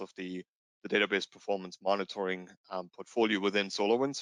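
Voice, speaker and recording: The tone is bright and sharp in a dry, close sound with no echo. Speech moves at a fairly quick pace with fairly even intonation. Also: man. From Germany. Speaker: product manager. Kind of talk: webinar presentation. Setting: online webinar. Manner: hesitant, many fillers.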